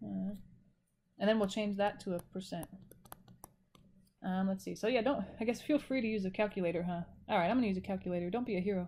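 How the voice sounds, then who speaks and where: Her voice has a dark, mellow tone, and the woman talks very fast with ordinary pitch variation. Long pauses come often. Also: medium pitch for a woman. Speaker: math instructor. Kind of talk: recorded lecture. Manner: casual, self-correcting.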